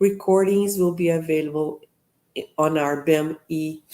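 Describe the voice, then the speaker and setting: Dark and mellow in tone, a woman speaks with a Brazilian Portuguese accent. Her pace is very slow and her intonation fairly even. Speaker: professor and seminar host. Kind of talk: event welcome address. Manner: halting with fillers.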